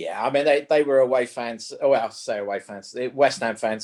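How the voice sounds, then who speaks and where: Someone with a London accent talks at a moderate pace. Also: man. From London (Wembley). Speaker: golf coach, panelist. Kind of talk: panel discussion.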